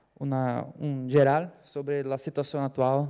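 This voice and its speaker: The man's tone is dark and mellow. His pitch lands in the middle range. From Brazil. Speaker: panelist, AI researcher. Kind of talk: conference panel talk. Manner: halting, many fillers.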